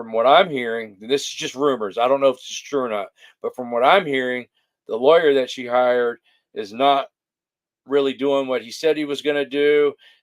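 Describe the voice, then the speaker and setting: A medium-pitched man mumbles at a fairly quick pace. His loudness swings a lot, while his pitch varies in an ordinary way. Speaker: livestream interviewer. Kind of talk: casual livestream chat. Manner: mumbling; hesitant, many fillers.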